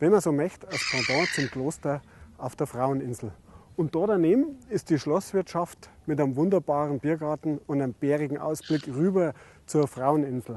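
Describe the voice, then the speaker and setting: A man speaks with a Bavarian accent at a moderate pace. His pitch is fairly high for a man, with ordinary pitch variation. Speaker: innkeeper. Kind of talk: travel guide presentation to camera. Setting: outdoors. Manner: friendly, casual.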